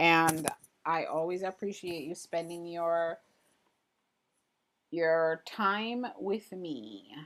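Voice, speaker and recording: Someone speaks very slowly with an American accent and long, frequent pauses. The recording is very clean, with a silent background. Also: woman. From Jamaica. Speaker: printmaking artist and livestreamer. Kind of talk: casual livestream chat reading viewer comments. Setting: live stream. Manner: animated.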